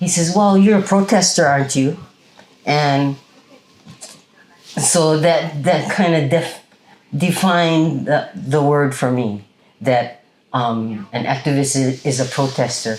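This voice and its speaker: A woman with a Hawaiian accent speaks very slowly in a very deep, low pitch. Her intonation is lively, broken by long, frequent pauses. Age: 70s. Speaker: Native Hawaiian activist. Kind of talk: interview. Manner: halting, many fillers.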